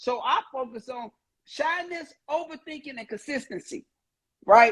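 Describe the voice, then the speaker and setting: An energetic tone at a fairly slow pace. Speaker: content creation coach. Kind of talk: casual podcast discussion.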